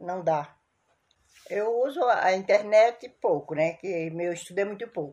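Speaking fairly slowly, a woman has a medium pitch and lively intonation. Her tone is dark and mellow. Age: 60s. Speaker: interviewee, grandmother. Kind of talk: recorded testimony. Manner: halting.

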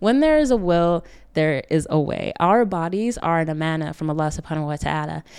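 On a very clean recording with a silent background, a woman with an American accent uses a normal speaking voice, fairly low in pitch, at a fairly quick pace with ordinary pitch variation. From upstate New York. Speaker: wellness coach and podcast host. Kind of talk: solo podcast talk.

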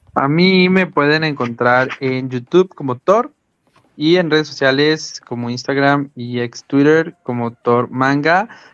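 The pitch varies in an ordinary way. The pace is very slow. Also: man, fairly high pitch for a man. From Mexico. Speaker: podcast co-host. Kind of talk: casual chat. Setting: live stream.

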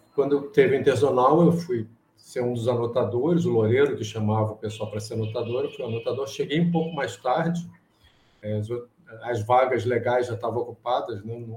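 Pitch variation here is ordinary. There is a somewhat breathy quality to the voice. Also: man. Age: 60s. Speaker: chess problem solver. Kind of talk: interview. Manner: halting.

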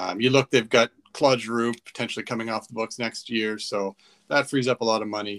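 A man with a plain, everyday voice, medium pitch, and moderate pace, in a dry, close sound with no echo. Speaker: podcast host. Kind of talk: casual sports podcast chat. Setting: remote recording, online audio call.

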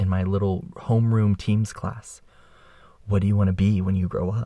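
The pace is fairly quick. A man talks in a somewhat breathy voice. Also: very clean recording, silent background. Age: 20s. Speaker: podcast host. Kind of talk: casual monologue. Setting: makeshift studio in a bedroom closet. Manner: animated.

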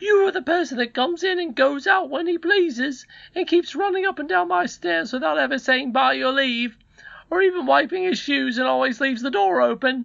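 Putting on a character voice, a man talks at a moderate pace with extremely high pitch, vocal fry, a fairly bright tone and ordinary pitch variation.

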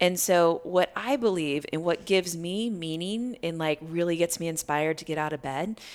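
A woman with an American accent has an ordinary speaking voice, fairly low in pitch, with ordinary pitch variation at a moderate pace. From US Midwest, Iowa. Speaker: life coach and yoga teacher. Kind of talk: casual interview. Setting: in person.

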